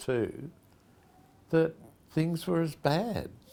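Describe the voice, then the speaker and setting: A man with an Australian accent at a very slow pace. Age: 70s. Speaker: pastor and charity founder. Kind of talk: reflective personal address. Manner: conversational.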